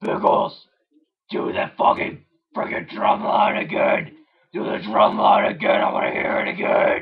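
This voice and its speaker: A raspy cartoonish character voice from a man. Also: moderate pace. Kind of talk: cartoon voice impression. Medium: solo performance. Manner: slow, deadpan, grumbling.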